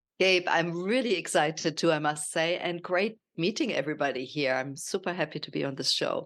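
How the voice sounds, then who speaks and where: Someone with a German accent speaks at a fairly quick pace, with hardly any pauses and ordinary pitch variation. The background is quiet. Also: woman, fairly low pitch for a woman. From Germany. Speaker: nutrition coach. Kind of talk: podcast interview.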